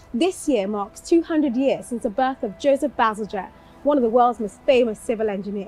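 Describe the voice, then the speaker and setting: With music in the background, a woman speaks at a high pitch and a fairly quick pace, her intonation lively. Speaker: TV presenter. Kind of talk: documentary presenting to camera.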